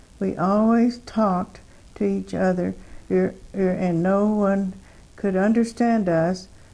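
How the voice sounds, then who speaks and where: A woman with a Texan accent speaks at a very slow pace. Her medium-pitched voice has a dark, mellow tone. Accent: Texan Southern US. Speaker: twin sister telling life story. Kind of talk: reminiscing, reading memoir aloud. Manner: halting, many fillers.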